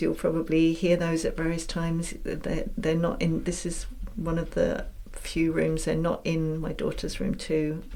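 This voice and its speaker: A woman with an English accent speaks at a moderate pace in a fairly low voice with fairly even intonation. Audible room echo and noticeable background noise accompany her. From England. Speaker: podcast host and mentor. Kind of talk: casual monologue. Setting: home room.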